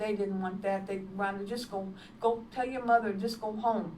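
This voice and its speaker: Medium pitch from a woman, fairly even intonation, audible room echo. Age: 70s. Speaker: evangelist and nurse. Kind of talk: testimony. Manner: halting.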